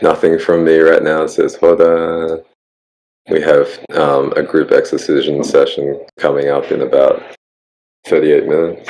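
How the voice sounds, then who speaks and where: With an Australian accent, the speaker keeps a moderate pace broken by long, frequent pauses. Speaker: community podcast host. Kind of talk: casual chat.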